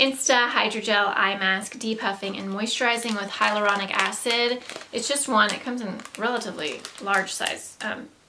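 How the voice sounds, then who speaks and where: A woman with a Southern US accent speaks at a fairly high pitch with fairly even intonation, with audible room echo and noticeable background noise. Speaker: beauty vlogger. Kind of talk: casual product haul talk. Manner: hesitant, many fillers.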